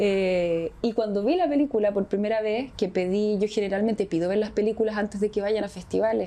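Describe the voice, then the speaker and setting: A woman at a medium pitch speaks at a fairly quick pace with hardly any pauses, a dark, mellow tone, fairly even intonation and very even loudness. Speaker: actress. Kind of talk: interview.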